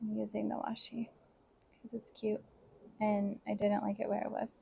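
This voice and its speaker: A soft-spoken woman talks at a moderate pace. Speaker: planner vlogger. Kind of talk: casual voice-over while crafting.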